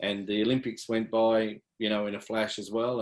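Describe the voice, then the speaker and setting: This is a man speaking with an Australian accent. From country New South Wales, Australia (Yass). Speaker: athletics coach. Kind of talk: interview.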